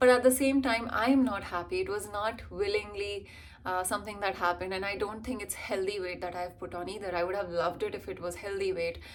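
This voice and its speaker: In an Indian accent, a woman talks at a very fast pace with hardly any pauses. Her voice sits at a medium pitch with ordinary pitch variation. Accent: Indian, being worked on toward American. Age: 20s. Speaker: vlogger and actor/model. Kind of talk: casual vlog chat.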